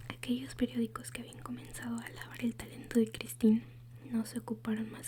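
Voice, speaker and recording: Someone whispers, soft-spoken, at a moderate pace. Noticeable background noise sits underneath. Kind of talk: whispered ASMR audiobook reading for sleep. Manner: whispered, soft-spoken.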